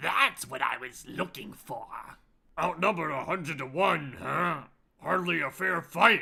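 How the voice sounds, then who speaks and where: A raspy, put-on character voice from a man, high in pitch, at a moderate pace. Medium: actual play. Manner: commanding, self-assured.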